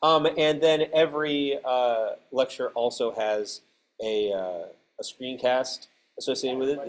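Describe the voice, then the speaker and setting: A man with a fairly high pitch talks at a fairly slow pace with ordinary pitch variation. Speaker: lecturer. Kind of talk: casual classroom. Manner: hesitant, many fillers.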